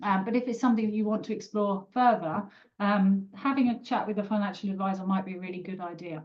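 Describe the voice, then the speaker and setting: The pace is very fast. A woman talks in a British accent. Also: medium pitch for a woman, fairly even intonation. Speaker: personal finance expert. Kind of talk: online webinar panel. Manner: hesitant, many fillers.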